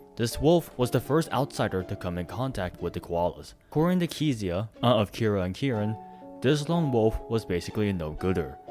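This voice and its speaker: A man speaks at a fairly quick pace in a fairly low voice, his pitch swinging very widely. Music plays in the background. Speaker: voice actor. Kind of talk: video essay narration.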